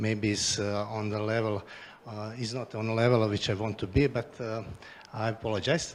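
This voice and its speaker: A man speaks with a Croatian accent at a moderate pace. His pitch is fairly low and his intonation is monotone and flat. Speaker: regional politician. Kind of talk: conference presentation. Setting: stage with audience. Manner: halting, many fillers.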